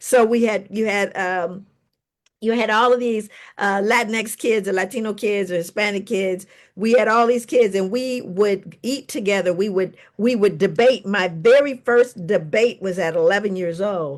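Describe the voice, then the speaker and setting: A normal speaking voice at a moderate pace. Pitch moves in an ordinary way over a quiet background. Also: woman, medium pitch for a woman. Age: 60s. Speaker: psychologist and author. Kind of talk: panel discussion.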